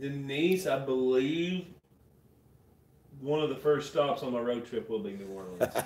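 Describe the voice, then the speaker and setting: With a fairly high pitch and lively intonation, a man speaks at a fairly slow pace with long, frequent pauses against noticeable background noise. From Southeast Kentucky and East Tennessee. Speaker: paranormal explorer YouTuber. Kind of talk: casual livestream chat. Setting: livestream.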